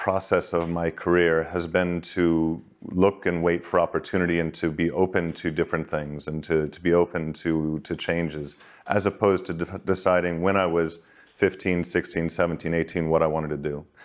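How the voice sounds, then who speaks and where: Speaking with a Boston accent, a man has a very deep, low pitch and fairly even intonation. His pace is moderate, and the background is quiet. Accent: Boston American. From Boston, Massachusetts, US. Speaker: banking executive, career talk speaker. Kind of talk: informal career talk to students. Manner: conversational, with many false starts and repetitions.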